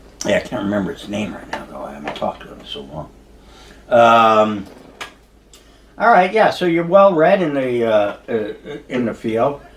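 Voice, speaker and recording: A man's voice swings very widely in pitch and greatly in loudness, with long, frequent pauses and noticeable background noise. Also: medium pitch for a man, moderate pace. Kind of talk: podcast interview host. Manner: hesitant, casual.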